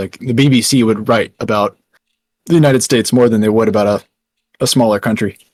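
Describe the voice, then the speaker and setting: A man with a Texan accent talks very fast at medium pitch, with long, frequent pauses and fairly even intonation. The sound is dry and close, with no echo. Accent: Texan American. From Texas. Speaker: founder of an online news outlet. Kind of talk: casual interview. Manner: halting, many fillers.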